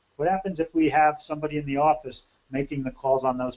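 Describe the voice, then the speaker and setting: The speaker goes at a fairly quick pace with ordinary pitch variation. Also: man. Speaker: bookkeeping consultant for lawn care companies. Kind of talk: webinar presentation. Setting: webinar. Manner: fast.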